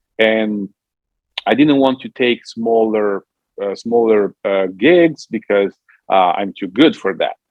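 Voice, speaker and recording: With an Italian accent, a man speaks at a very slow pace. His voice has a medium pitch and ordinary pitch variation. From Italy. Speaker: musician and Italian diction coach. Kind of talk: interview. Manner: halting.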